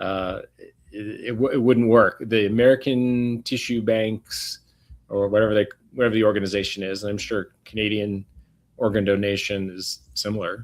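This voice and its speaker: A man with an unremarkable speaking voice talks at a moderate pace in a fairly low pitch and fairly even intonation. His loudness swings widely on a very clean recording with a silent background. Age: 60s. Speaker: regenerative medicine doctor. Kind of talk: interview.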